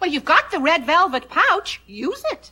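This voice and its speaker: A female-sounding, squeaky put-on character voice, extremely high in pitch, swings very widely at a moderate pace. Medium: stage play.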